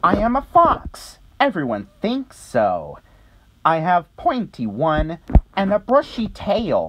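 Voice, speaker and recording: A put-on character voice sits at a middle pitch. The pace is fairly slow. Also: female-sounding voice. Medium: read story.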